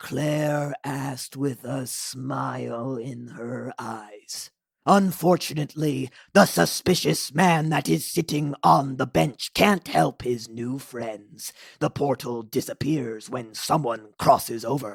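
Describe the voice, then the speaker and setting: A put-on character voice at a fairly slow pace, very cleanly recorded against a silent background. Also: man, medium pitch for a man. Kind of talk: storybook narration. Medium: audio drama. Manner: speaks of himself in third person, narrating.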